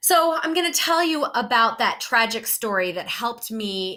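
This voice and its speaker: With a strong American accent, a woman speaks at a moderate pace in a bright, sharp tone, with a fairly high pitch and very wide pitch swings. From United States. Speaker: student presenter. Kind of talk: presentation.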